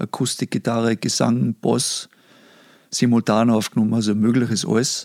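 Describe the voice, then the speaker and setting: Here a man speaks at a moderate pace and medium pitch. Intonation is fairly even, with a dry, close sound and no echo. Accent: Salzburg. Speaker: recording studio owner. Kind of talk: casual chat. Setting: online call.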